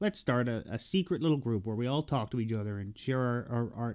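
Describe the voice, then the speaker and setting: On a very clean recording with a silent background, a man with an Irish accent speaks in a medium pitch. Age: 30s. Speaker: podcast co-host. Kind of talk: casual chat.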